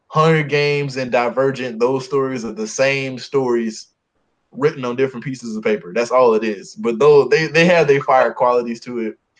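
This man uses a plain, everyday voice, pitched at a medium level. He keeps a moderate pace and ordinary pitch variation. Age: 20s. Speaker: podcast co-host. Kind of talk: casual chat.

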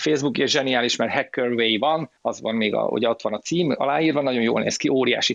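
A man talks at a very fast pace. His voice has vocal fry. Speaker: film expert and cybersecurity specialist. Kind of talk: casual chat. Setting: online audio room. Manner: halting.

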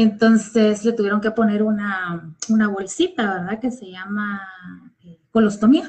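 The voice is somewhat breathy. It comes with a Guatemalan accent. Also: woman. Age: 40s. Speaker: school principal and teacher. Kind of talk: personal testimony. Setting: online live stream.

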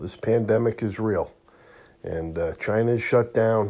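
The man's tone is dark and mellow. He speaks at a fairly slow pace with ordinary pitch variation. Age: 50s. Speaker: market commentator. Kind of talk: monologue video update.

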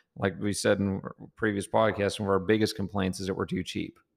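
This man has an American accent. He talks at a fairly low pitch. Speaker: agriculture business co-owner and podcast co-host. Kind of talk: casual chat. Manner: animated.

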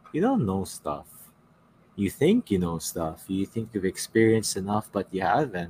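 A man speaks at a moderate pace with a fairly low pitch and ordinary pitch variation. His voice is somewhat breathy with a dark, mellow tone, in a dry, close sound with no echo. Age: 30s. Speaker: podcast host. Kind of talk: casual chat.

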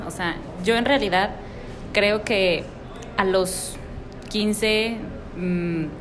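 A woman is speaking with audible room echo. Background noise can be clearly heard. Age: 20s. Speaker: podcast co-host. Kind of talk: casual chat.

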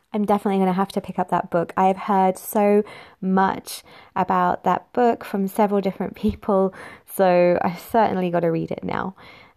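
A woman with an East Midlands accent speaks at a moderate pace in a medium pitch, her tone dark and mellow and her intonation flat and monotone. The recording is very clean, with a silent background. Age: 20s. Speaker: podcast host. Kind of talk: scripted intro; interview.

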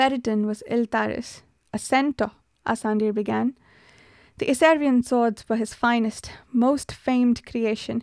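A woman's fairly high voice, fairly slow and flat in a monotone, dry and close with no echo, on a very clean recording with a silent background. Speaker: podcast host and book reviewer. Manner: measured, storytelling read-aloud pace, formal and even, unlike the chatty intro; casual, chatty, laughs often, hesitant with filler words.

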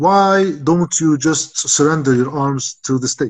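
A somewhat breathy, fairly high male voice at a moderate pace, with ordinary pitch variation and a dry, close sound free of echo. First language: Arabic. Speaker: political commentator. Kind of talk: interview.

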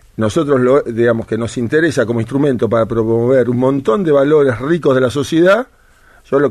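Speaking at a fairly quick pace, a man with an ordinary speaking voice keeps a medium pitch and ordinary pitch variation. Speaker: sports coach and sports policy adviser. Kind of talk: interview.

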